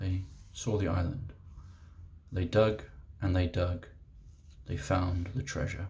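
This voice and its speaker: Soft-spoken and somewhat breathy, this voice with a British accent has a gentle, dark, mellow tone, ordinary pitch variation, a very slow pace and long, frequent pauses. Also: man. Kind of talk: ASMR reading aloud of a childhood picture book. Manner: soft-spoken, gentle.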